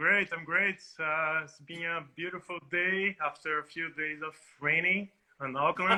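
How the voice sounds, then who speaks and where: In a Portuguese accent, the speaker goes at a fairly slow pace with fairly even intonation and big swings in loudness. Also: man, high pitch for a man. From Northeast Brazil (Salvador, Bahia). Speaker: DJ. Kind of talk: interview.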